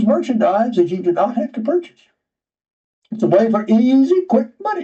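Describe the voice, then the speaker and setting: At a moderate pace, a man speaks with a Georgia accent and an extremely high pitch. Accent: Southern American (Georgia). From US South. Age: 80s+. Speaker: writer and retired geologist. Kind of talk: interview.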